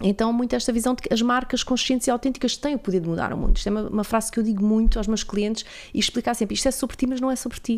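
The speech comes at a very fast pace with hardly any pauses. Its intonation stays fairly even. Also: woman, fairly high pitch for a woman. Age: 40s. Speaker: podcast host. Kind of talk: interview.

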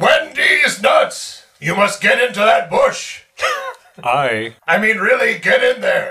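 In a put-on character voice, a man talks at a fairly slow pace. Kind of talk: comic overacting. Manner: broken caveman English, dim and jolly.

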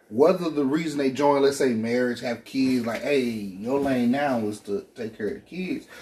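Medium-pitched male speech at a moderate pace, with ordinary pitch variation, hardly any pauses and noticeable background noise. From Arkansas. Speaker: podcast co-host.

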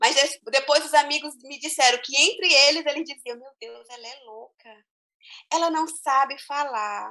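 A woman's high-pitched, raised, projected voice, bright and sharp in tone, at a fairly slow pace. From Brazil, small interior town. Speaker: teacher. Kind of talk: interview. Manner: hesitant, repeats words.

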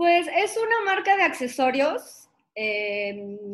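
A woman speaks at a very slow pace. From Guadalajara, Mexico. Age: 30s. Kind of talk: casual interview chat.

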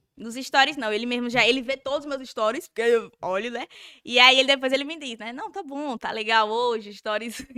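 A woman speaks in a strong Sergipe accent with a high pitch and a bright, sharp tone. Her pace is fairly quick, and her loudness swings widely. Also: ordinary pitch variation. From Brazil, Sergipe (Nossa Senhora do Socorro, near Aracaju). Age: 20s. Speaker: social media influencer. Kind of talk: casual chat. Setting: studio.

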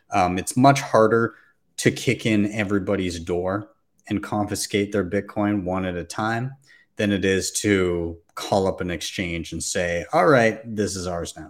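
A man speaks in a normal speaking voice with a fairly low pitch. His pitch variation is ordinary. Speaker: podcast host. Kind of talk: live panel discussion. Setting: remote live stream while traveling.

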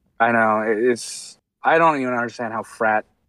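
A man talks in a plain, everyday voice at medium pitch with ordinary pitch variation. The recording is very clean, with a silent background and a dry, close sound with no echo. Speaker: podcast guest. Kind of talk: casual comedic chat. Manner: bantering, playful.

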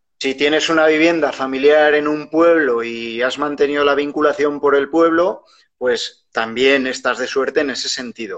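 With hardly any pauses, a man speaks at a moderate pace in a plain, everyday voice. His fairly high pitch holds fairly even intonation. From Spain, Huesca (Aragon). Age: 40s. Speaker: media professional and rural entrepreneurship podcaster. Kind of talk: casual interview.

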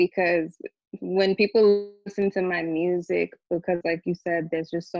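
A woman with a plain, everyday voice, at a moderate pace and fairly even intonation. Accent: American. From New York, the Bronx. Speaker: R&B singer-songwriter. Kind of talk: casual interview. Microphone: connectivity issues.

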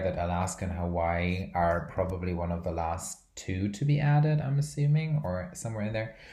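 A somewhat breathy man's voice, very deep and low, at a moderate pace with audible room echo. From Brazil. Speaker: podcast host. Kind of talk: casual chat. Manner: rambling, filler words.

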